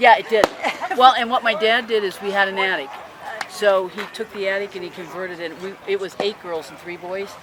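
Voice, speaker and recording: A man with an American accent talks fairly quickly at a high pitch, his intonation fairly even. His loudness swings widely over noticeable background noise. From Ohio, US Midwest. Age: 70s. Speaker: spectator at youth baseball game. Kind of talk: casual chat.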